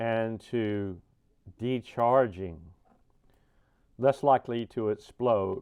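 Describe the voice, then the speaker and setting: A man's mumbling at a medium pitch and a very slow pace, with fairly even intonation, over a quiet background. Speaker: RC hobbyist, deaf. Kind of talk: casual unboxing talk.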